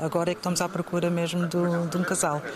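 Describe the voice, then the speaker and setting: Noticeable background noise behind a woman's voice of medium pitch. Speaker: model scout. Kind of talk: interview answers. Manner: hesitant, many fillers.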